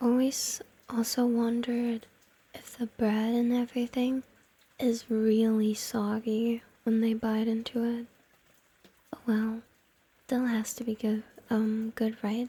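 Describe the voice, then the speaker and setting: A soft-spoken, playful voice whispers at a fairly slow pace. Long, frequent pauses break up the speech. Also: woman. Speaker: ASMR and gaming content creator, VTuber. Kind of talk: ASMR whispered roleplay talking to the listener. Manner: soft-spoken, whispered, playful.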